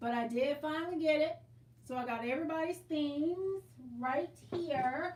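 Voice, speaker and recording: A loud, high-pitched woman's voice with long, frequent pauses. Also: ordinary pitch variation, moderate pace. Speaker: quilting livestream host. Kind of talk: casual livestream chat.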